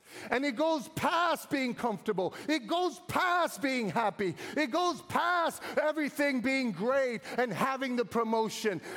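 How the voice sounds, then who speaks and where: With very even loudness, a man sounds animated at an extremely high pitch amid noticeable background noise. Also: fairly slow pace. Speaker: pastor. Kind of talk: sermon. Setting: church service, live preaching in one city with a second campus in another city. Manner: animated, rousing preacher's delivery, calling out for amens; urgent and earnest, pressing a prophetic message.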